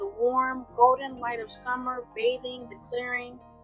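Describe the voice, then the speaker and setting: Music plays behind a woman with a high voice. She talks at a fairly slow pace. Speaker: storyteller. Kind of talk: bedtime fantasy story reading. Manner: soft-spoken.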